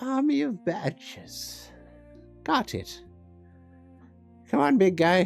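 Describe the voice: Over clear background music, a put-on character voice at middle pitch sounds strained and guttural, moving at a very slow pace with long, frequent pauses.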